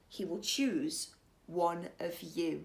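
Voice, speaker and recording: This woman puts on a growling character voice. Her pitch sits fairly low. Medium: read story. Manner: crisp, formal.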